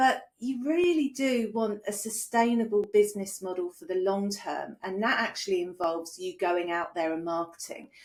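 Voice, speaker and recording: This woman speaks at a moderate pace with a British accent, her medium-pitched voice showing ordinary pitch variation. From UK. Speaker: business coach. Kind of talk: online training presentation. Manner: conversational.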